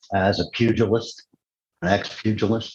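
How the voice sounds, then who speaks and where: A man speaks very slowly in a somewhat breathy voice with fairly even intonation. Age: 60s. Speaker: retired fighter and sheriff's deputy. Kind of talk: interview. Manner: halting, many fillers.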